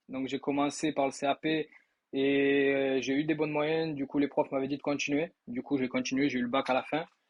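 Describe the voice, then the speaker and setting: A man with a slight Toulouse accent, fairly high-pitched, at a moderate pace with fairly even intonation. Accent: slight southern French (Toulouse). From southern France, Toulouse. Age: 20s. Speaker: sales trainee, former electrician. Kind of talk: testimony. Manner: casual, hesitant with many fillers.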